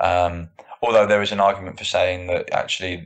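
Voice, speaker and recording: A man with a southern English accent speaks in a very deep, low voice. His intonation is flat and monotone, and his pace is moderate. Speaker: strength and conditioning coach. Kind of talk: interview answer.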